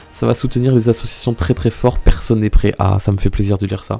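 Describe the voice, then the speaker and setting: A medium-pitched man at a fairly quick pace, with noticeable background noise. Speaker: streamer. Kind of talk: casual live stream chat. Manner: speaking quieter than usual, reserved; hesitant, many fillers and repetitions.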